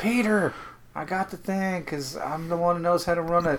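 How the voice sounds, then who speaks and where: With an Irish accent, a man speaks at a fairly quick pace in a fairly high pitch. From Ireland. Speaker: film podcast co-host. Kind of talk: film commentary chat.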